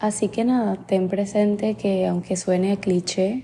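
A woman's dark, mellow voice comes through somewhat breathy, her intonation fairly even. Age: 20s. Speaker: podcast host and life coach. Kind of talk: motivational solo podcast talk.

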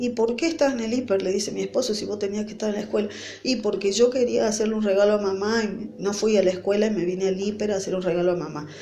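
Talking very fast with hardly any pauses, a woman at a medium pitch shows ordinary pitch variation, with noticeable background noise and audible room echo. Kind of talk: devotional sermon. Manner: halting, with fillers.

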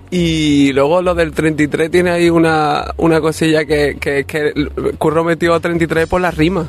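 Monotone and flat, a man with a fairly high voice speaks at a fairly slow pace and very even loudness. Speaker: musician. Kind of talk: interview. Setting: outdoors in a city square. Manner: halting.

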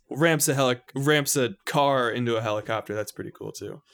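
In a very clean recording with a silent background, a man speaks at a moderate pace. He has an ordinary speaking voice with ordinary pitch variation. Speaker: podcast host. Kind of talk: casual chat.

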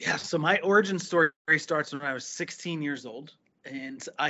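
This man talks with a New Jersey accent. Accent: New Jersey American. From US, New Jersey. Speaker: physical therapist and entrepreneur. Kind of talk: interview conversation.

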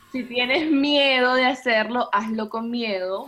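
A woman talks very slowly, her pitch varying in an ordinary way, with noticeable background noise present. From Venezuela, Puerto la Cruz. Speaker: body positivity influencer. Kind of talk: interview.

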